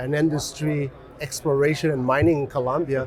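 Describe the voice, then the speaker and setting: A fairly high-pitched man's voice with ordinary pitch variation over noticeable background noise. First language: French. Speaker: mining company executive. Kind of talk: interview. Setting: conference.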